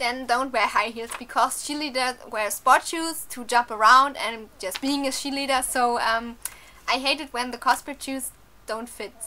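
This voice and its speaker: Speaking with a non-native accent, a woman with a high pitch keeps a moderate pace and fairly even intonation, with big swings in loudness. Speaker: cosplayer. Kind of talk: casual talk to camera. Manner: hesitant, many fillers.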